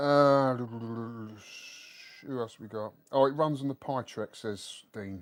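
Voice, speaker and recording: In a London accent, a man talks very slowly at a medium pitch, barely pausing at all. His intonation stays fairly even. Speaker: retro gaming streamer. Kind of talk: casual live stream chat.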